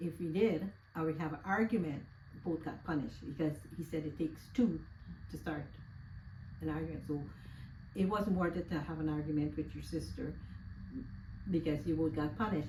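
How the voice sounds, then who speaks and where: A woman with a very deep, low pitch and lively intonation speaks at a fairly quick pace with long, frequent pauses and audible room echo. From Guyana. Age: 70s. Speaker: interviewee. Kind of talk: casual interview, life story.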